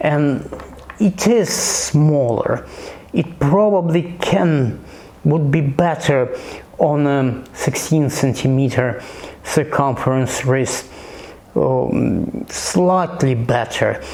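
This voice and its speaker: Speaking at a very slow pace with a non-native accent, a man with a fairly high voice shows ordinary pitch variation and very even loudness over noticeable background noise. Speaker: watch reviewer. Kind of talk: casual product review. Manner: halting, many repetitions.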